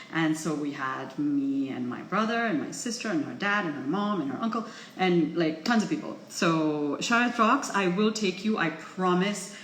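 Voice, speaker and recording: Pitched fairly low, a woman speaks at a moderate pace with very wide pitch swings and hardly any pauses, amid noticeable background noise and audible room echo. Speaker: vlogger. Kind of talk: casual vlog chat. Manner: chipper and chirpy.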